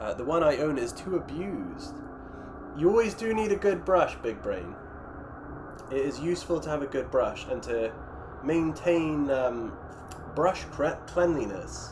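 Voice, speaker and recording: A man's fairly high voice with lively intonation, a fairly slow pace and long, frequent pauses, amid noticeable background noise and audible room echo. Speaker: miniature painting streamer. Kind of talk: casual livestream chat reading viewer comments. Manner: stuttering, tripping over words; hesitant, many fillers.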